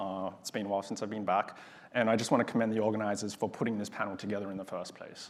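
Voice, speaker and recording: A man with an Australian accent speaks at a very fast pace, fairly low in pitch, with monotone, flat intonation. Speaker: aerospace engineer, panelist. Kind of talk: panel discussion.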